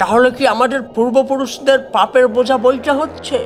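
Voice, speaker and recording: A man uses a shaky, put-on character voice at an extremely high pitch, with fairly even intonation. He speaks at a moderate pace over clear background noise. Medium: audio drama.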